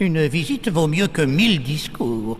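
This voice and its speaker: Clear background noise sits under a man doing a put-on character voice. His pitch is fairly high and his pace is moderate. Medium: fan dub. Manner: fussy, musing.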